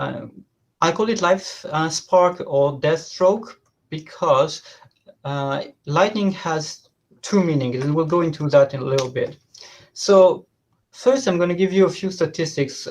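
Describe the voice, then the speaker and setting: A man with a French accent, high pitch and fairly slow pace against a quiet background. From southern France. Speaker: professor. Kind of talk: lecture. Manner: halting, many fillers.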